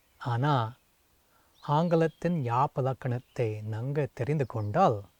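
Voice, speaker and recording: Recorded very cleanly with a silent background and a dry, close sound with no echo, a man with an English accent speaks at medium pitch with ordinary pitch variation. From US, Seattle. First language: English (speaking Tamil). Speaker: translator and Tamil scholar. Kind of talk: prepared video greeting.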